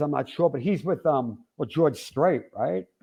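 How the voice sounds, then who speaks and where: A man speaks with a New York accent. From Long Island, New York. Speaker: rock drummer. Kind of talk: interview. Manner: animated.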